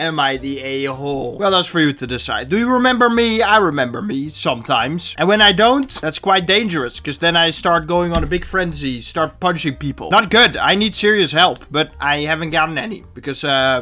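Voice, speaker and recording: Talking at a fairly quick pace with hardly any pauses, a man uses lively intonation. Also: fairly high pitch for a man. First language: not English. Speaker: YouTuber reading Reddit posts. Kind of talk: comedic commentary with reading aloud. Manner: animated.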